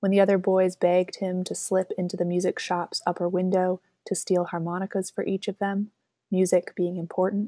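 In a very clean, dry and close recording with no echo and a silent background, a woman speaks at a medium pitch and moderate pace with a dark, mellow, gentle tone and monotone, flat intonation. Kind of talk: poem reading, read aloud. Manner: reflective, with gentle pauses between lines.

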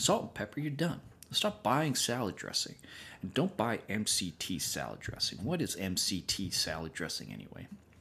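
A man's medium-pitched voice with vocal fry and a bright, sharp tone, very wide pitch swings and a moderate pace, on a very clean recording with a silent background. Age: 30s. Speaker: podcast host. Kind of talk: casual chat.

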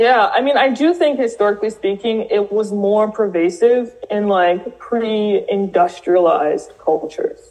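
At a fairly slow pace with hardly any pauses, a woman with an American accent uses a plain, everyday voice, her fairly high pitch carrying lively intonation at very even loudness. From US South, New Orleans. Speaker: writer and diversity training founder. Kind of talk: interview.

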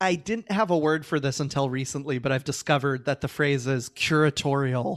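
Fairly quick and very even in loudness, a man's normal speaking voice sits at a fairly high pitch. His pitch variation is ordinary, and the sound is dry and close with no echo. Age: 30s. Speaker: author. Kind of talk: interview.

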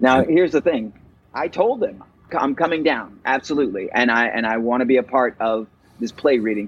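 This man has an ordinary speaking voice at medium pitch. He talks at a fairly quick pace with ordinary pitch variation. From Virginia, US (Roanoke). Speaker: actor and playwright. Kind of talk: interview.

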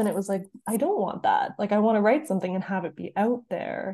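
Here is a woman with a Canadian accent and a plain, everyday voice. Her medium pitch shows ordinary variation. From Canada. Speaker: writer and author. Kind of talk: casual interview chat.

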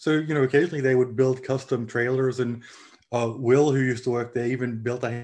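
The speaker has an Australian accent and a fairly quick pace. The intonation is monotone and flat. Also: man. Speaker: parade organizer. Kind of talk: casual chat.

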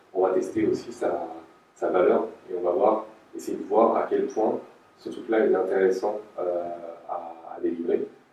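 A man's voice with audible room echo. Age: 30s. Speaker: head of product design. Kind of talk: interview. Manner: halting, many fillers and repetitions.

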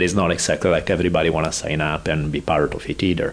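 Speaking at a fairly quick pace with an Italian accent, a man shows ordinary pitch variation against noticeable background noise. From Italy. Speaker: professor and martial arts scholar. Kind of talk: casual interview chat.

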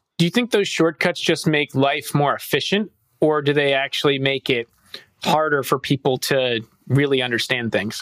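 A man talks at a moderate pace in a plain, everyday voice, pitched fairly high, with ordinary pitch variation. The loudness stays very even, and the sound is dry and close with no echo. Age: 30s. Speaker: finance professional and podcast co-host. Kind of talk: casual chat.

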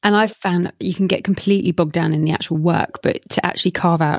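In a normal speaking voice, the speech moves at a fairly quick pace with fairly even intonation and a dry, close sound with no echo. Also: woman. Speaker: podcast host. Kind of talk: interview questions, casual professional chat.

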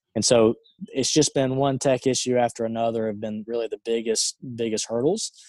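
A man with an Alabama accent talks at a moderate pace and medium pitch. The sound is dry and close with no echo, and his intonation is fairly even. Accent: Southern US (Alabama). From US South, rural Alabama. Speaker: entrepreneur. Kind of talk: interview.

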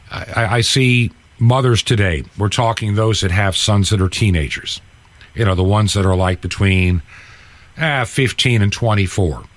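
A man with an unremarkable speaking voice talks at a fairly slow pace with a fairly low pitch. His pitch variation is ordinary and his loudness very even. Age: 60s. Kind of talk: radio interview.

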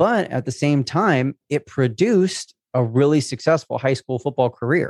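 Here is a man with an American accent and an unremarkable speaking voice at a fairly high pitch. He talks at a fairly slow pace with lively intonation. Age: 20s. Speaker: social media business coach. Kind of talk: testimony interview. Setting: video call.

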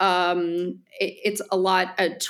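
A woman with a New Jersey accent speaks at a medium pitch. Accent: New Jersey American. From New Jersey, US. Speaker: artist and opera singer, voice teacher. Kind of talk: casual interview chat. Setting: home voice studio, wearing AirPods. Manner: halting, repeats words.

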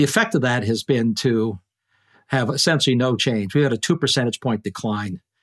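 On a very clean recording with a silent background and a dry, close sound with no echo, a man speaks at a medium pitch and a fairly quick pace with ordinary pitch variation. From Canada. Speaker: physicist and energy expert. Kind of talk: interview. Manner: halting, frequent repetitions.

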